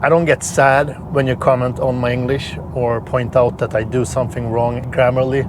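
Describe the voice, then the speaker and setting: A man speaks with a Swedish accent and fairly even intonation. Background noise is noticeable. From Sweden. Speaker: car reviewer. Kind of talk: vlog-style review while driving.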